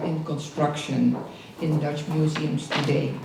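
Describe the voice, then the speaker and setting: Room echo and noticeable background noise surround the recording. A woman speaks through it at a moderate pace. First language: not English. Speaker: conference moderator. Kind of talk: event introduction.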